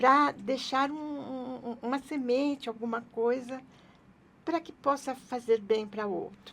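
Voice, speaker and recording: A woman talks at a fairly slow pace in a high voice. Her loudness swings widely. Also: ordinary pitch variation. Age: 80s+. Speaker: businesswoman and author. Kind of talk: interview answer.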